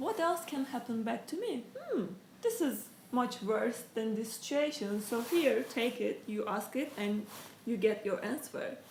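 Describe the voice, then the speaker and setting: With a non-native accent, a woman speaks fairly slowly in a fairly high voice, with audible room echo and noticeable background noise. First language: not English. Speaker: interviewee sharing life story. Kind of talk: interview. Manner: halting.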